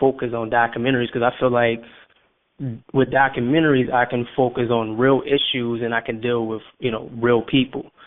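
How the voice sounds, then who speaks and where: A man's medium-pitched voice in a New Orleans accent, monotone and flat, at a fairly quick pace. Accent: New Orleans Southern US. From US South, New Orleans. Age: 20s. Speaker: filmmaker. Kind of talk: radio interview. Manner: halting, many fillers and repetitions.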